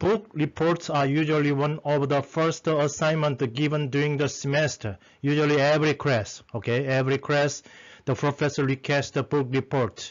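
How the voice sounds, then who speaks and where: A man with a non-native accent, fairly even intonation and very even loudness. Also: fairly high pitch for a man, moderate pace. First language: not English. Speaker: lecturer teaching academic writing. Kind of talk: lecture. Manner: halting, many fillers.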